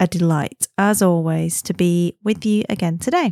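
A woman's fairly low, dark, mellow voice with ordinary pitch variation at a moderate pace, dry and close with no echo

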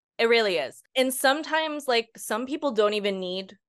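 A woman's ordinary speaking voice in an American accent, moderate pace and lively intonation, quiet background. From US Northeast. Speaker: ADHD coach. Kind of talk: casual interview.

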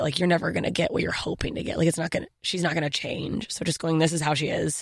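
A woman's fairly low voice in a dry, close sound with no echo. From Germany-born, raised in Southern Mississippi and Alaska. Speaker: stand-up comedian and podcast host. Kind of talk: casual interview chat. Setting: studio. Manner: fast talker; animated, self-deprecating.

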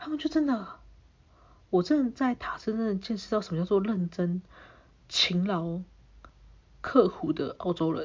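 A woman with a somewhat breathy voice and medium pitch speaks at a fairly slow pace with lively intonation and long, frequent pauses. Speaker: podcast host. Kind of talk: casual solo storytelling.

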